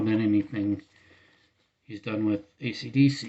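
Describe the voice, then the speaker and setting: A man talks at a moderate pace and medium pitch. His intonation stays fairly even. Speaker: music vlogger. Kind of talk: casual vlog monologue. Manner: halting, many false starts.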